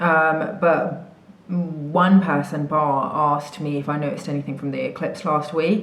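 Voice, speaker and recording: A woman with an English accent and a very deep, low voice, moderate pace, audible room echo. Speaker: spiritual coach. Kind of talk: casual vlog chat. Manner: casual, many fillers.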